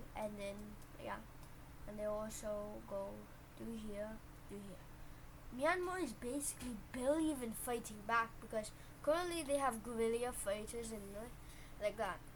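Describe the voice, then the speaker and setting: Big swings in loudness and long, frequent pauses mark this clip, which has noticeable background noise. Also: woman, fairly high pitch for a woman, lively intonation, moderate pace. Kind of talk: casual strategy game commentary.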